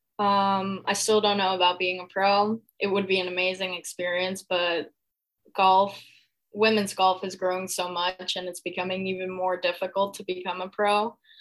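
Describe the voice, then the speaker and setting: With a monotone, flat intonation, a woman speaks at a medium pitch and a moderate pace. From Mexico City. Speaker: college golfer. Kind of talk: podcast interview.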